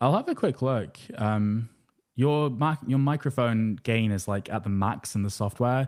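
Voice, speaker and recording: A man with a medium pitch speaks at a fairly slow pace with ordinary pitch variation. The recording is very clean, with a silent background. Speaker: workshop host. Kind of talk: live tech workshop presentation. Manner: loud.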